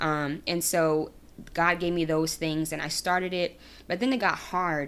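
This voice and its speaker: A woman's plain, everyday voice, fairly low in pitch, at a moderate pace on a very clean recording with a silent background. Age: 30s. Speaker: podcast host and school counselor. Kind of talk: casual faith talk monologue. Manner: casual, with frequent fillers.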